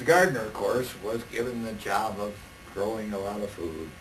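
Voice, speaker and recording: Against noticeable background noise, a man with an American accent speaks at a moderate pace in a fairly low voice with ordinary pitch variation. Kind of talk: oral history recollection. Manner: conversational, anecdotal.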